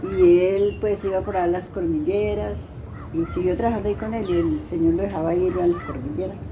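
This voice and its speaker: The speech comes at a moderate pace, with audible room echo and noticeable background noise. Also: woman. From Colombia, Tolima. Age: 80s+. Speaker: interviewee sharing life story. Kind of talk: life story interview. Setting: at her home in a Tolima town.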